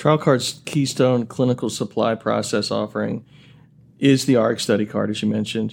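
A man with a normal speaking voice and medium pitch talks at a moderate pace with fairly even intonation. The recording is very clean, with a silent background. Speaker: podcast host, marketing VP. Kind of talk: podcast hosting, scripted intro.

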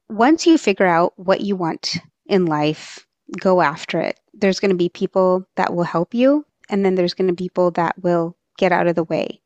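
A woman speaks fairly slowly in a medium pitch with an American accent, in an unremarkable speaking voice. The sound is dry and close, with no echo. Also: quiet background. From Texas. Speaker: emergency physician and life coach. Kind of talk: interview.

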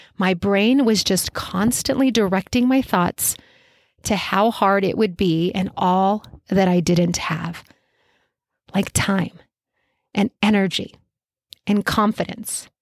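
A woman's medium-pitched, animated voice at a fairly slow pace, with ordinary pitch variation, the sound dry and close with no echo in a very clean recording on a silent background. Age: 40s. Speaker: running coach and podcast host. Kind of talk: solo podcast monologue.

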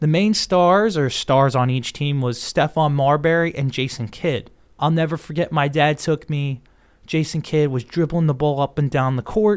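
A man with an American accent and a plain, everyday voice speaks at a fairly high pitch and moderate pace with ordinary pitch variation, on a very clean recording with a silent background. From Long Island, New York. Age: 20s. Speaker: sports podcast host. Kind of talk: solo podcast monologue.

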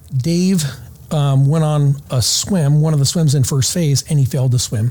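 Speaking fairly slowly with long, frequent pauses, a man uses a fairly high, dark, mellow, somewhat breathy voice at very even loudness, with ordinary pitch variation. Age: 50s. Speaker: retired SWAT sniper and former Navy SEAL, firearms instructor. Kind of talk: casual interview. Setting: conference venue recording.

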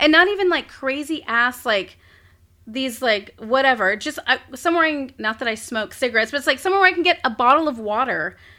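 Raised, projected woman's voice, high in pitch, with lively intonation at a fairly quick pace. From South Texas, Corpus Christi. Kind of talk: casual interview chat.

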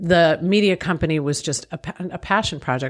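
A woman with an American accent speaks at a moderate pace in a fairly low pitch. Hers is a plain, everyday voice, in a very clean recording with a silent background. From Long Island, New York. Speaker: business owner and author. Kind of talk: interview.

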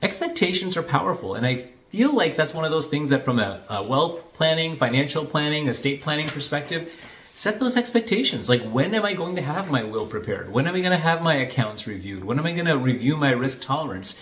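With noticeable background noise behind him, a man speaks very fast at a fairly high pitch with very wide pitch swings. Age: 40s. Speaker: financial planner. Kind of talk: casual vlog monologue.

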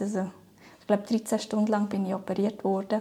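In a very clean recording with a silent background, a woman with a medium pitch speaks in a dark, mellow, somewhat breathy tone. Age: 30s. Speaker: cancer patient. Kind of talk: personal testimony interview. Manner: hesitant, many fillers.

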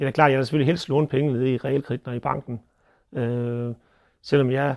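A man at a fairly high pitch and very fast pace, with fairly even intonation, on a very clean recording with a silent background and a dry, close sound with no echo. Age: 40s. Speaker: dairy farmer and agricultural board chair. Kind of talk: interview commentary.

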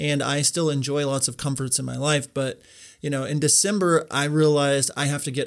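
A man with a plain, everyday voice, fairly high in pitch, at a fairly quick pace with fairly even intonation, in a very clean recording with a silent background. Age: 30s. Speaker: wedding filmmaker and podcaster. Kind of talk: casual interview.

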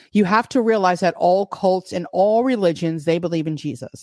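Speaking with a New York accent, a woman has a dark, mellow tone, a fairly low pitch and lively intonation, in a dry, close sound with no echo. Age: 50s. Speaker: podcast host. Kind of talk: livestream Bible teaching with chat; casual chat. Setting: live stream from home, using a laptop.

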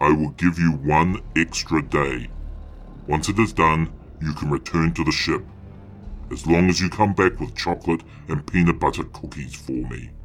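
With clear music in the background, a man uses a put-on character voice, very deep and low in pitch, at a moderate pace broken by long, frequent pauses. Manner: cold, commanding, oddly whimsical.

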